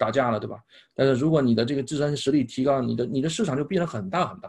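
This man speaks at a medium pitch. His pace is very fast. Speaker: speech-language therapist and English pronunciation coach. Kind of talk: casual interview chat.

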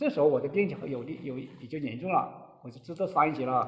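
His pitch shifts in an ordinary way. The man moves along at a fairly quick pace. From Hunan, Zhuzhou. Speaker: coal miner with pneumoconiosis. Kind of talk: interview testimony. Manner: halting.

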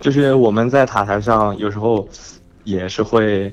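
A man with a slight northeastern Chinese accent speaks at a fairly low pitch. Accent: northeastern Mandarin, slight. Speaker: aviation worker, air traffic related. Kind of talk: casual phone call chat. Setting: phone call.

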